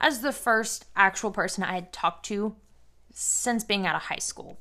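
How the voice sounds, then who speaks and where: The recording is very clean, and the background is silent. The woman's pitch varies in an ordinary way. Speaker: podcast host. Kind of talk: personal storytelling monologue. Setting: home loft apartment. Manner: hesitant, many filler words.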